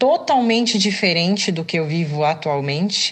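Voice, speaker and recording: A woman speaks at a fairly low pitch. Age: 30s. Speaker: podcast host, physical education student. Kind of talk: personal testimony monologue. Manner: hesitant, many filler sounds.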